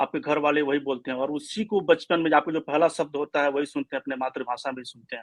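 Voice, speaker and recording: A man with a Bihari accent talks at a fairly high pitch, his intonation fairly even and hardly any pauses, in a dry, close recording with no echo. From India, eastern Uttar Pradesh (Gorakhpur). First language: Bhojpuri (speaking Hindi). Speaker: office worker and Bhojpuri music promoter. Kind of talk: interview. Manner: hesitant, many fillers.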